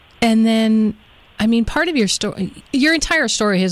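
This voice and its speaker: A woman in a plain, everyday voice, fairly high-pitched, at a moderate pace with lively intonation. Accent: American. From United States. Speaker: talk show host. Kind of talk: interview. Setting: live radio show.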